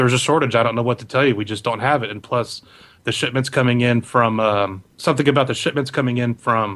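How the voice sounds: The voice is a natural reading voice with fairly even intonation.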